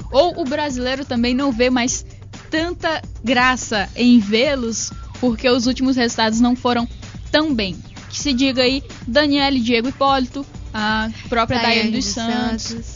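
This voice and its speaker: Music in the background under a woman's high voice, fairly slow in pace and fairly even in intonation. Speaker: radio sports presenter. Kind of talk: radio sports show hosting.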